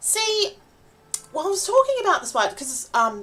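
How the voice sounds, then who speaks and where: A woman with an Australian accent, very wide pitch swings, and noticeable background noise. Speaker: vtuber streamer. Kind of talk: casual gaming livestream chat. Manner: chatty, hesitant with fillers.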